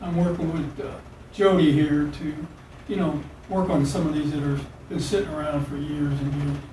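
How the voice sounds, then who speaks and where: Amid noticeable background noise and audible room echo, a man speaks at a moderate pace with fairly even intonation. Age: 70s. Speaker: cold case investigator. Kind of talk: police interrogation.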